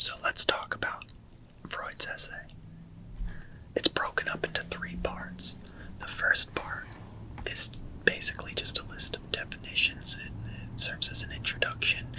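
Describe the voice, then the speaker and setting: Whispering at a moderate pace, a man leaves long, frequent pauses, his loudness swinging widely over noticeable background noise. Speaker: literature ASMR channel host. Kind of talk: ASMR literary lecture. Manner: whispered.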